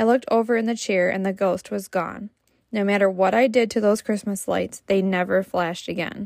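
Dry and close with no echo, the recording catches a woman with an ordinary speaking voice talking at a fairly quick pace, medium pitch and fairly even intonation. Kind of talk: ghost story telling. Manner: casual chatty, laughing between stories.

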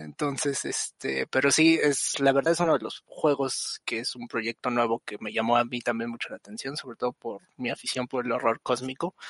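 A man has an ordinary speaking voice at a medium pitch with ordinary pitch variation. He keeps a moderate pace with hardly any pauses. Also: dry, close sound with no echo. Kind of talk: casual chat.

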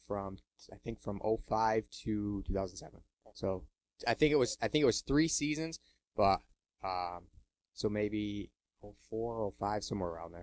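Recorded with a dry, close sound and no echo, a man speaks at a fairly low pitch and a moderate pace. He uses ordinary pitch variation and takes long, frequent pauses. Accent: American. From Pittsfield, Massachusetts. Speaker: race car driver. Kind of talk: interview. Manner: halting.

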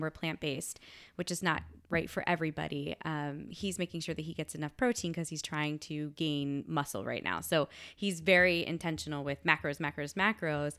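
A woman speaks with a fairly low pitch and a bright, sharp tone. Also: very clean recording, silent background. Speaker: science teacher; middle school teacher and wellness instructor. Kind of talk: casual interview.

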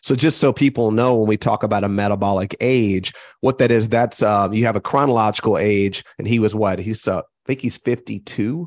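An unremarkable speaking voice from a man, fairly low in pitch and fairly quick, with fairly even intonation, a dry, close sound with no echo and a quiet background. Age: 40s. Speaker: health podcast co-host. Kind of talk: casual chat.

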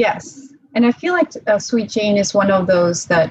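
A woman speaks fairly slowly at medium pitch, somewhat breathy, with lively intonation. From Czech Republic (Prague). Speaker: bikini competitor and cigar influencer. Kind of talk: casual interview chat.

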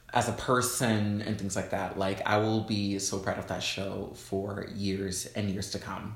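Against noticeable background noise, a man talks at a fairly slow pace with a fairly low pitch and hardly any pauses. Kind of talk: casual chat. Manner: animated.

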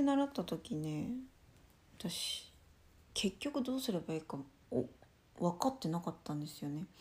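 On a very clean recording with a silent background, a woman speaks in a medium pitch, somewhat breathy and dark, mellow in tone, with lively intonation. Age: 20s. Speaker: solo podcaster on sex education. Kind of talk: casual monologue.

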